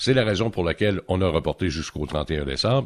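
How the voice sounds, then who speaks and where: Over a quiet background, a man with a Quebec accent talks at a moderate pace in a very deep, low pitch, with very wide pitch swings and vocal fry. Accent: Québécois French. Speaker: economics columnist. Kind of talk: radio interview segment. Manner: hesitant with many fillers.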